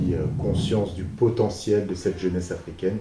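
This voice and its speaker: A man speaks at a fairly slow pace with a somewhat breathy voice and fairly even intonation. Audible room echo carries his words. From France, Paris region. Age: 30s. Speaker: business manager and youth mentor. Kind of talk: interview. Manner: hesitant, many fillers.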